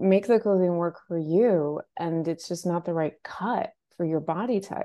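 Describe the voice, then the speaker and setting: This is a normal speaking voice with an American accent. It moves at a fairly slow pace with ordinary pitch variation. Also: woman, fairly low pitch for a woman. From Portland, Maine, US. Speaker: personal stylist. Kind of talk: casual interview.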